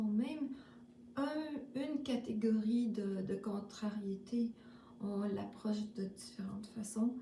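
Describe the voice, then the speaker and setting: In a Quebec accent, a woman speaks very slowly in a fairly high, dark and mellow voice that is somewhat breathy, her intonation fairly even and audible room echo around her. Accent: Québécois French. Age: 60s. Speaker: spiritual vlogger. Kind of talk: casual spiritual monologue. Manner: halting, many fillers.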